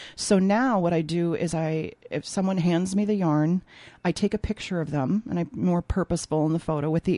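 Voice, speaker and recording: Speaking fairly quickly in an American accent, a woman with a fairly low pitch, a dark, mellow tone and fairly even intonation comes through dry and close with no echo against a quiet background. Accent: Minnesota accent comes out when back home. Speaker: textile artist and opera singer. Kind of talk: casual interview. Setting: radio studio.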